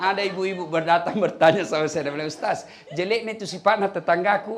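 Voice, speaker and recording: A man speaks very fast in a South Sulawesi accent. His pitch is high and his intonation fairly even. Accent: Bugis-accented Indonesian. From Makassar, South Sulawesi. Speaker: Islamic preacher. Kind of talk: humorous religious sermon. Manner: humorous.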